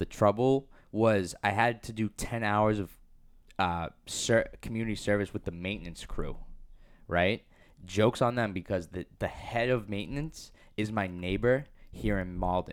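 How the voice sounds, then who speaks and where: The speaker is a man with a fairly low pitch. His pitch variation is ordinary. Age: 20s. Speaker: podcast co-host. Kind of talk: casual chat.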